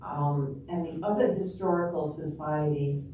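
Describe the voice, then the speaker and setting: Over noticeable background noise and audible room echo, a woman with an American accent speaks at a very deep, low pitch with ordinary pitch variation. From New York. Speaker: public health researcher and local history lecturer. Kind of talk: public lecture. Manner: casual, with frequent fillers.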